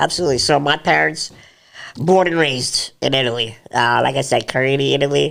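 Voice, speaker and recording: This man has a medium pitch with vocal fry and talks at a fairly quick pace. The recording is very clean, with a silent background. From New York State, US, Italian-speaking Sicilian family. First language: Italian. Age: 30s. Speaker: podcast guest. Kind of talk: casual interview chat.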